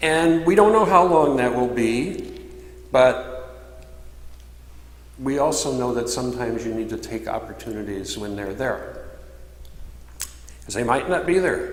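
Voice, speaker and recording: A man speaks at a fairly slow pace, with long, frequent pauses and big swings in loudness. Noticeable background noise and audible room echo surround him. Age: 60s. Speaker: minister. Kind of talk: sermon. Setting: church.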